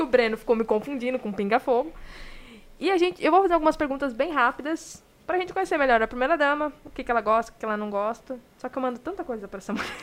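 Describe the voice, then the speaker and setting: Very fast speech with lively intonation. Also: woman, high pitch for a woman. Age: 20s. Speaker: podcast host. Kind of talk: live podcast interview. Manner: animated.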